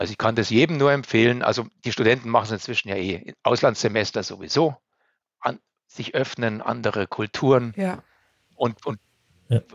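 Medium-pitched male speech at a moderate pace, ordinary pitch variation and long, frequent pauses. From Upper Bavaria, Germany. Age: 50s. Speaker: elevator company managing director. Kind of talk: interview.

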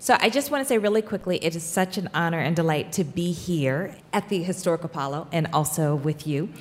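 Noticeable background noise sits under a woman's fairly low-pitched voice, which moves at a moderate pace with lively intonation. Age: 50s. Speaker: author and scholar. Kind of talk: panel discussion on stage. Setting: stage with live audience.

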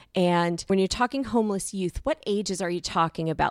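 An unremarkable speaking voice from a woman at fairly low pitch and moderate pace, with ordinary pitch variation, dry, close sound with no echo, and a very clean recording with a silent background. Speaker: podcast host and clinician. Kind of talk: interview.

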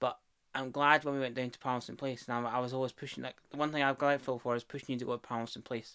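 A man with a medium pitch speaks very fast in a monotone, flat intonation. His tone is bright and sharp. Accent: Scottish. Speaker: partner of host, guest. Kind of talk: casual conversation.

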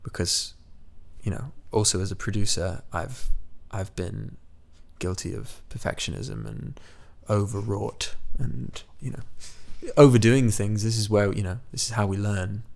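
Somewhat breathy and fairly low-pitched, a man speaks at a fairly slow pace with ordinary pitch variation. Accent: American. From US Midwest (Iowa, small college town), then raised mostly in England. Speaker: musician. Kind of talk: interview. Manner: halting, with frequent repetitions.

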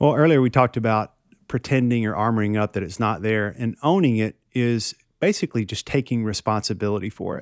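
A man speaks at a fairly quick pace with a Tennessee accent, medium pitch and ordinary pitch variation. The recording is very clean with a silent background, and the sound is dry and close with no echo. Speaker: counselor. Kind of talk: casual chat.

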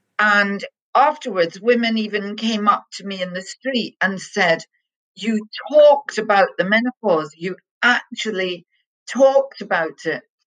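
A woman has a plain, everyday voice at a fairly high pitch. She speaks at a fairly slow pace with ordinary pitch variation. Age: 60s. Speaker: television executive and lecturer. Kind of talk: interview, conversational.

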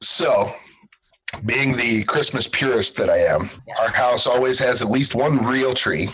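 A man with a normal speaking voice talks at a fairly slow pace and medium pitch, his intonation fairly even and his loudness very even. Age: 40s. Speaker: real estate agent and Santa performer. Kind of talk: interview.

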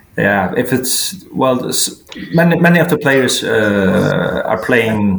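With a Faroese accent, a man speaks very slowly at a medium pitch. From Faroe Islands. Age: 40s. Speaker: sports journalist. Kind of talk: interview. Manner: halting.

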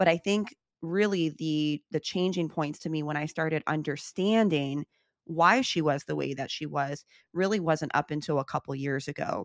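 A woman with an American accent, very deep and low in pitch, at a moderate pace with ordinary pitch variation, dry and close with no echo on a very clean recording with a silent background. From US Midwest, Chicago. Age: 30s. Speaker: author and podcaster. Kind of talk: interview.

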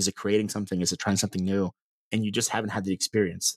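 The very clean recording has a silent background and a dry, close sound with no echo. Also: man. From US South, Mississippi (Meridian). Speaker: startup co-founder. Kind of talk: casual interview chat. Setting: office.

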